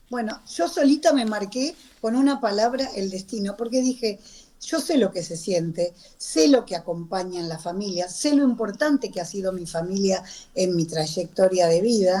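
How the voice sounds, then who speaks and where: A plain, everyday voice from a woman, medium in pitch, with lively intonation at a moderate pace. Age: 60s. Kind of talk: radio interview.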